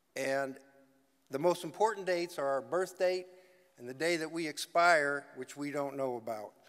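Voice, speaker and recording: A man with an American accent speaks at a moderate pace in a fairly high pitch, with ordinary pitch variation over a quiet background. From US South, Georgia (Macon); Georgia. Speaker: retired football player. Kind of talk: acceptance speech. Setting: stage with audience. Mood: grateful, emotional. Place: hall. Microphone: podium.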